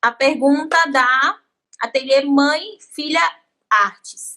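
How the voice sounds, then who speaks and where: Her tone comes across bright and sharp. The woman's voice is high-pitched. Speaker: podcast host and artisan teacher. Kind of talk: casual interview chat.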